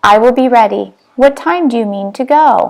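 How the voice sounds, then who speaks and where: A woman adopts a put-on character voice, pitched high and delivered at a moderate pace. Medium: read story.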